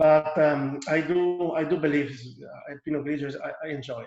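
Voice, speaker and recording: In an Italian accent, a man speaks with a fairly high pitch. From northeast Italy, Friuli. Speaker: winemaker. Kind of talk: wine tasting presentation. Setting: video call. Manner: halting, many repetitions.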